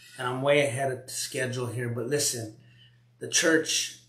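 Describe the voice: Through audible room echo, a man of medium pitch speaks at a moderate pace with fairly even intonation and a fairly bright tone.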